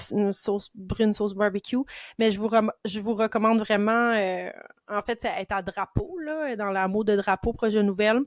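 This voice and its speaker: Speaking in an animated tone, a woman uses a fairly high pitch with ordinary pitch variation at a moderate pace. The recording is very clean, with a silent background and a dry, close sound with no echo. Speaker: heritage and history enthusiast. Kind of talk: casual chat.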